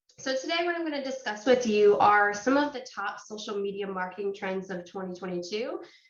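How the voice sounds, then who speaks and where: This clip features a woman's voice. The room echo around it is audible. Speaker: marketing author and speaker. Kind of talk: webinar presentation.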